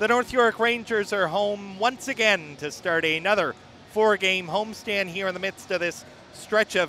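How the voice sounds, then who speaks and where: With light background noise, a man speaks at a moderate pace in a raised, projected voice. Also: dry sound with no echo. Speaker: play-by-play announcer. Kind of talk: sports commentary. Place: stadium. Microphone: headset.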